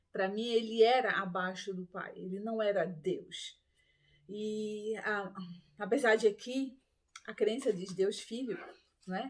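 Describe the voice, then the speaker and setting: Very slow pace and fairly even intonation, broken by long, frequent pauses. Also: woman, fairly high pitch for a woman, big swings in loudness. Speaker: ex-Adventist Bible teacher. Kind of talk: Bible study talk.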